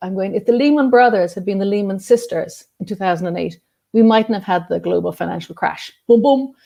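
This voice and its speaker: Against a quiet background, a woman with an Irish accent speaks fairly quickly in a dark, mellow tone, her pitch fairly high with ordinary variation. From Ireland. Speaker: journalist and activist. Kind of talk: interview. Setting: video call.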